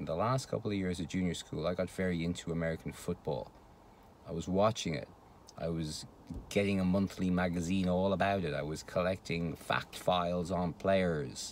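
In a Dublin accent, a man speaks at a moderate pace with a very deep, low pitch and fairly even intonation, in a dry sound with no echo over light background noise. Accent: Irish (Dublin). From Ireland, Dublin. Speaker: vlogger. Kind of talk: casual monologue. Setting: home recording. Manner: hesitant, many fillers. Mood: wry, dismissive about rugby. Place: car. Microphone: phone near.

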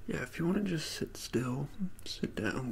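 Someone whispers at a moderate pace. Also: man. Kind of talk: soft-spoken role-play talk to the viewer. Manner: soft, calm ASMR talk. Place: home room. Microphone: phone near.

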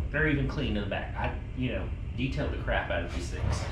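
A man speaks fairly quickly amid noticeable background noise. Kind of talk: casual vlog tutorial. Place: garage.

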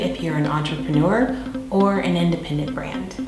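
A woman's voice comes with audible room echo. Clear music plays in the background. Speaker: video production business owner. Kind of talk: promotional pitch to camera. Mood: warm, upbeat. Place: studio.

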